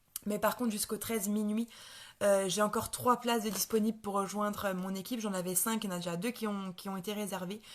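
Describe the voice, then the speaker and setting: A woman at medium pitch speaks very fast in a monotone, flat intonation. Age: 20s. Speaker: network marketing seller. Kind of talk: sales pitch. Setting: live stream. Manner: halting, many fillers and repetitions.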